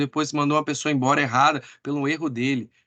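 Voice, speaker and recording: Fairly even intonation marks a normal speaking voice heard against a quiet background. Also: man. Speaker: sales team trainer. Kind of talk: online training meeting.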